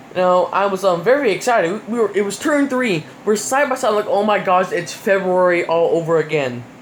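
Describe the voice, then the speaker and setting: The speaker talks at a fairly quick pace in an animated tone with hardly any pauses, while noticeable background noise runs underneath. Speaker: YouTuber reviewing NASCAR races. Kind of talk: casual commentary review. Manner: fast; animated, many fillers.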